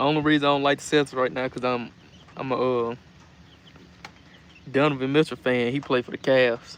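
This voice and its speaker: With a Southern US accent, the speaker moves at a fairly quick pace in a monotone, flat delivery broken by long, frequent pauses. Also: man, medium pitch for a man. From US South. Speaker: livestreamer chicken keeper. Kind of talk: casual live stream chat. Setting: live stream.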